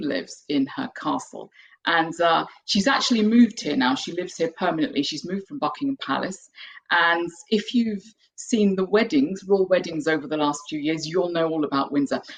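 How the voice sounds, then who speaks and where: In a British accent, a woman talks at a fairly low pitch with lively intonation. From UK. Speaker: piano teacher and composer. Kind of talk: online webinar presentation. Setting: video webinar.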